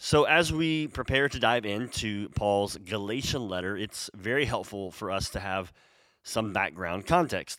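Recorded very cleanly against a silent background, a man with an American accent and an unremarkable speaking voice talks in a fairly low pitch with lively intonation. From United States. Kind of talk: sermon-style Bible teaching.

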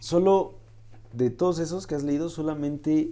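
A man's dark, mellow tone at a fairly slow pace. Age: 20s. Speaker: podcast host. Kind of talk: interview.

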